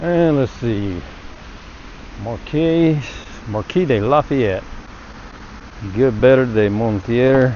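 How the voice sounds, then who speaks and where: A man at a very slow pace with long, frequent pauses, relaxed in tone yet lively in intonation, over noticeable background noise. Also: medium pitch for a man. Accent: strong Southern US. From US South, small town. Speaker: travel vlogger. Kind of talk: walking tour narration. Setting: outdoors. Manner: casual, relaxed.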